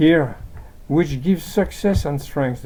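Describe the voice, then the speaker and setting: With a French accent, a man talks at a fairly slow pace using lively intonation. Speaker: amateur translator of religious texts. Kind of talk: reading aloud with commentary. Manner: halting.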